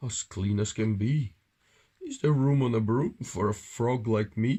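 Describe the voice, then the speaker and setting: Using a croaky, put-on character voice, a man speaks at medium pitch and a moderate pace. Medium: read story.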